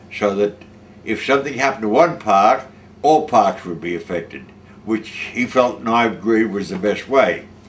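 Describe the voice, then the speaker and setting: This man has an Australian accent and a medium pitch. His pace is moderate. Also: lively intonation. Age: 80s+. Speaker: war veteran. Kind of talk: testimony. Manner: halting.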